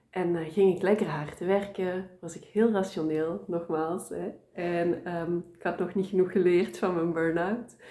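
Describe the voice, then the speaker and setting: Over noticeable background noise, a woman with a fairly low pitch speaks at a fairly slow pace in a monotone, flat intonation, with hardly any pauses and big swings in loudness. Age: 30s. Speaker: tarot reader. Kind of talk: interview.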